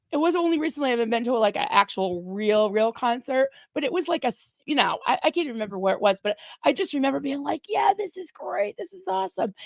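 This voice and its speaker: A woman speaks at a very fast pace in a high voice, with very wide pitch swings, big swings in loudness, and a dry, close sound with no echo. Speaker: ex-Scientologist livestream host. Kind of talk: casual chat. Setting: livestream. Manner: soft-spoken.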